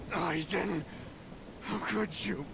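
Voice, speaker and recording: A man puts on a character voice at a fairly high pitch. Loud background noise runs underneath. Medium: video game. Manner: brash, irreverent.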